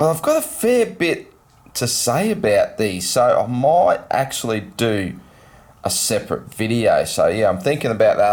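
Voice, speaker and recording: Talking at a moderate pace, a man speaks with an Australian accent. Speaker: LEGO vlogger. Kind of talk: casual vlog.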